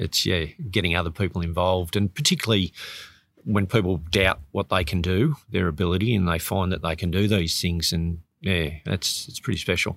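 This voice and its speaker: With an Australian accent, a man speaks at a moderate pace in a very deep, low voice with ordinary pitch variation, recorded very cleanly against a silent background in a dry, close sound with no echo. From Sydney, Australia. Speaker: botanic gardens curator and open water swimmer. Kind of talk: interview.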